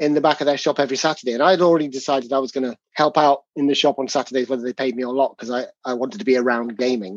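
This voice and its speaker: A man is speaking with an English accent. His voice is fairly high in pitch. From England. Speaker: tabletop game designer. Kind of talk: casual interview.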